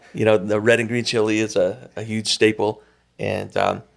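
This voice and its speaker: A man talks at a fairly low pitch with vocal fry. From northern New Mexico, Pecos. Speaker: education director. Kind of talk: interview.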